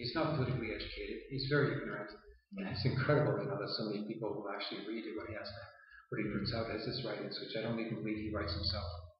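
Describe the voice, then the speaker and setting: Very fast speech from a man at medium pitch, with ordinary pitch variation and noticeable background noise. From Toronto, Canada. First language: Yiddish. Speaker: political activist and author. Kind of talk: interview. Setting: in Palestine. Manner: halting, with frequent fillers.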